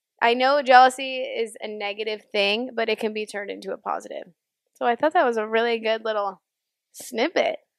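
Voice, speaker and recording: A woman with an ordinary speaking voice talks at a fairly quick pace and a fairly high pitch. Her pitch varies in an ordinary way, and the sound is dry and close with no echo. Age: 20s. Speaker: podcast co-host. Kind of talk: casual chat.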